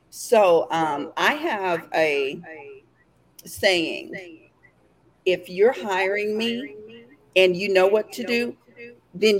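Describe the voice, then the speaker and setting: Speaking at a very slow pace with long, frequent pauses, a woman with an East Texas accent uses lively intonation at a medium pitch. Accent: East Texas Southern US. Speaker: entrepreneur guest. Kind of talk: casual chat. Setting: video call.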